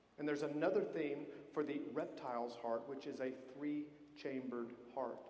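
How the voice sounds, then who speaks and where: Over noticeable background noise and audible room echo, a man talks with fairly even intonation. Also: fairly high pitch for a man, moderate pace. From Georgia, US South. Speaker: military band conductor. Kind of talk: concert introduction speech. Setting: concert hall stage with audience. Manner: conversational, friendly.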